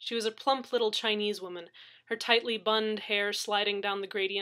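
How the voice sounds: The delivery is in a natural reading voice.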